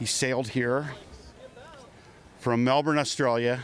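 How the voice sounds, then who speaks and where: Fairly even intonation and a medium pitch mark a man's voice set against noticeable background noise. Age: 60s. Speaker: street interviewee. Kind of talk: street interview.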